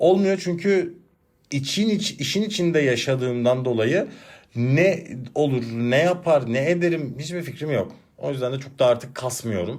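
Fairly high in pitch, a man talks at a fairly slow pace with lively intonation and big swings in loudness. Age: 30s. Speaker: podcast host and teacher. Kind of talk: casual solo monologue. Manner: animated, laughing.

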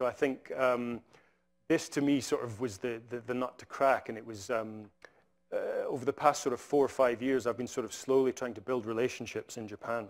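A man with a Scottish accent talks at a fairly quick pace with fairly even intonation. His loudness swings widely, and the background is quiet. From Scotland. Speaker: conservation scientist; invited lecturer. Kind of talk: lecture. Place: hall.

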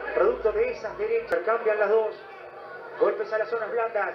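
A man is speaking. Crowd noise carries in the background. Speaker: boxing commentator. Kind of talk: live boxing commentary. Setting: ringside broadcast of a fight. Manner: animated, exclamatory.

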